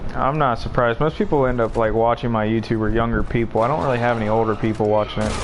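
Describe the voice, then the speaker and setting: A man at a medium pitch speaks very fast with hardly any pauses, his loudness very even and his intonation fairly even, while noticeable background noise runs behind him. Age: 20s. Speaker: gaming streamer. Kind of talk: casual chat. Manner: casual, swearing freely.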